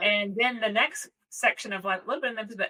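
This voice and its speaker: A woman's fairly high, bright, sharp voice with a Southern US accent at a very fast pace. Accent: Southern American. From American South.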